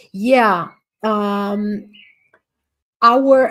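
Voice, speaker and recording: Fairly high in pitch, a woman speaks with a non-native accent and fairly even intonation. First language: not English. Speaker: astrologer and summit speaker. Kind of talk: online talk with audience Q&A. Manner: halting.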